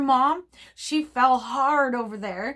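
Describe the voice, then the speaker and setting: The recording is very clean, its background silent. A woman talks with an animated tone. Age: 50s. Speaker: reborn doll artist and collector. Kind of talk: casual vlog storytelling.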